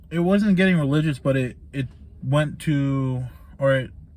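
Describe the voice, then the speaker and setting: The speaker is a man with a medium pitch. His voice is somewhat breathy. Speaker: vlogger reviewing a book. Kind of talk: casual book recap monologue. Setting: laundry room, in the dark. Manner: monotone; hesitant, many fillers.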